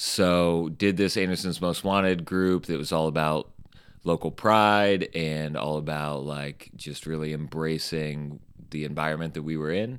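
Spoken with a Midwestern American accent at a fairly slow pace, the voice keeps a fairly even intonation on a very clean recording with a silent background. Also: man, very deep, low pitch for a man. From Indiana, Bluffton near Fort Wayne. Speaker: t-shirt company owner and designer. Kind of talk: interview conversation. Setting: studio.

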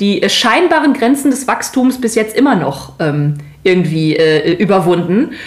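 A woman's voice in very wide pitch swings over noticeable background noise. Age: 30s. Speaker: podcast co-host. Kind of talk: casual chat.

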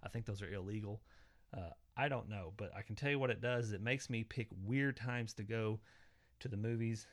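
With an Oklahoma accent, a man talks at a fairly quick pace in a medium pitch with fairly even intonation. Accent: Oklahoma Southern US. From southwest Oklahoma, small town. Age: 40s. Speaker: podcast host. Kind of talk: casual solo monologue. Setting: home basement.

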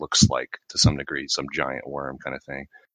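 Vocal fry in a man's very deep, low voice with a bright, sharp tone. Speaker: podcast co-host. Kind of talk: casual chat.

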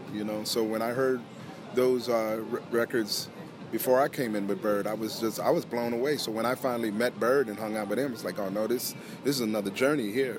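Someone speaks with an American accent at a fairly quick pace, with fairly even intonation. Noticeable background noise runs underneath. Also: man, medium pitch for a man. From US, Philadelphia. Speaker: guitarist. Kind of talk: interview. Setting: poolside at a hotel.

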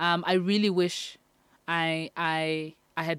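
This very clean recording, with a silent background, has a woman speaking at a fairly low pitch in a monotone, flat intonation. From South Africa. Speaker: singer-songwriter. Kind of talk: casual interview. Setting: studio.

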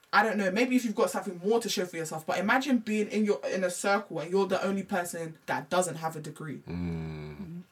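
A woman in a London accent speaks at a very fast pace with hardly any pauses, a medium pitch, ordinary pitch variation and vocal fry. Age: 20s. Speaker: hair extension business owner. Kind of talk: casual chat.

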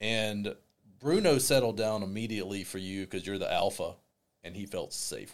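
This man has an unremarkable speaking voice, fairly low in pitch, with ordinary pitch variation. His loudness swings a lot. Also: moderate pace. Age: 40s. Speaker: counselor for young people. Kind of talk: interview.

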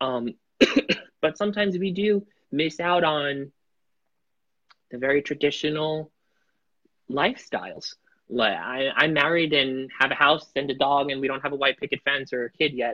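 With an American accent, a man of fairly high pitch talks at a fairly slow pace, with ordinary pitch variation and long, frequent pauses. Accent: Italian American, Staten Island. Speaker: podcast guest, headshot photographer; musical theater performer. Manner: casual, conversational.

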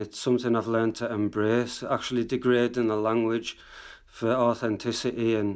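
In a Cumbrian accent, a man with a medium pitch speaks at a moderate pace in a flat monotone, on a very clean recording with a silent background. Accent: Cumbrian northern English, regional dialect.

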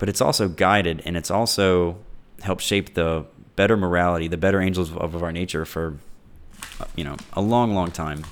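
This man's pitch is very deep and low, and his tone is relaxed. He moves at a fairly quick pace with fairly even intonation. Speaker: podcast host. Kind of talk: solo monologue. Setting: home recording, echoey room.

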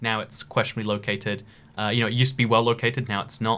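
Recorded very cleanly against a silent background, a man with a British accent speaks in a bright, sharp tone with fairly even intonation. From UK. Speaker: podcast host. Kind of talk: casual chat.

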